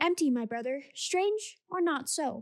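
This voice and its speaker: A woman puts on a character voice with a high pitch. She speaks at a fairly slow pace. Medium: read story. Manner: formal, clipped phrasing.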